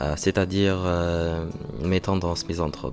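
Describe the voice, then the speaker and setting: There is noticeable background noise behind a man's voice. He talks at a fairly slow pace with a very deep, low pitch. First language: not French (learner) (speaking French). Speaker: vlogger, French learner. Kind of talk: vlog monologue, reading own thoughts. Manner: halting, many hesitations.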